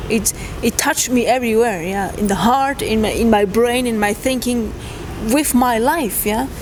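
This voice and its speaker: Amid noticeable background noise, a woman speaks at a fairly high pitch and a moderate pace with ordinary pitch variation. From Switzerland. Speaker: trekker. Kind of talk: interview. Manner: halting.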